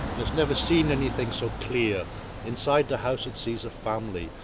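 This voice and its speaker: A man speaks with ordinary pitch variation, his voice carrying audible room echo over noticeable background noise. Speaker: former homeless squatter. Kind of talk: documentary interview, recounting memories.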